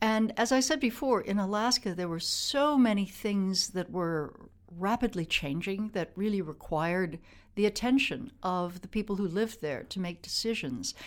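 In a very clean recording with a silent background, a woman uses an ordinary speaking voice at medium pitch, moderate pace and lively intonation. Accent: American. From US Midwest, Wisconsin. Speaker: former politician and Arctic policy official. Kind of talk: interview. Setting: studio.

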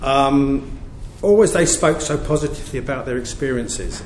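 A man is speaking with ordinary pitch variation. Noticeable background noise runs underneath. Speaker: prison governor. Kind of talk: public talk at an event.

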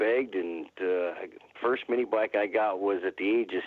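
Using a plain, everyday voice, a man with an American accent speaks at a moderate pace and fairly low pitch with fairly even intonation. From northeast Ohio, Warren. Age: 50s. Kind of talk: casual interview. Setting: phone call.

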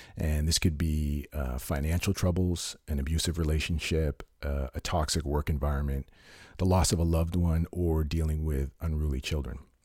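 Recorded very cleanly against a silent background, a man speaks at a moderate pace in a very deep, low pitch. His tone is dark and mellow, somewhat breathy, with monotone, flat intonation. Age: 40s. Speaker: fitness podcast host. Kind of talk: solo informational talk.

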